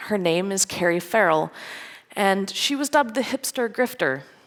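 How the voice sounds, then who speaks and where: With a slight Scottish accent, a woman speaks at a moderate pace in a medium pitch with lively intonation. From Scotland. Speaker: security engineer, conference speaker. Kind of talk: conference talk. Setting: stage with audience.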